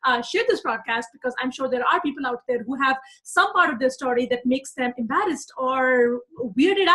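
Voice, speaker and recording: Speaking at a fairly quick pace with a South Asian accent, a woman uses a high, raised, projected voice with an animated tone and lively intonation. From Pakistan. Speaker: persuasion coach. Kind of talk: live broadcast talk. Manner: some hesitations.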